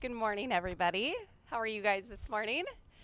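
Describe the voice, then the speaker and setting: A woman with an Upper Midwest accent speaks in a bright, sharp tone. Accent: Upper Midwest American. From North Dakota. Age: 30s. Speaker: small business owner. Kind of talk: pitch presentation to audience. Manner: fast.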